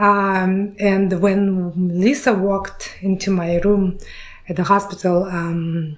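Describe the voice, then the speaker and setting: A woman with a Russian accent speaks at a medium pitch in a monotone, flat intonation. Her pace is very slow. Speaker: podcast host. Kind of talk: interview. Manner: halting.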